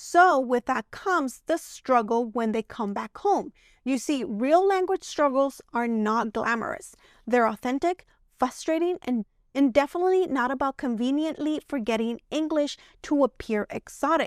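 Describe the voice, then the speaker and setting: Lively intonation marks this moderately paced speech in a Spanish accent, with a dry, close sound and no echo on a very clean recording with a silent background. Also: woman, high pitch for a woman. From Mexico. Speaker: commentary youtuber. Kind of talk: video commentary.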